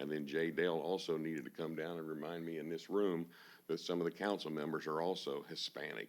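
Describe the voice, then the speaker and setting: A man with a Texan accent at a very deep, low pitch, with fairly even intonation and a moderate pace. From Texas, Houston area. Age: 60s. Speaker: auctioneer, public commenter. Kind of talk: public comment at city council. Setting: city council meeting room.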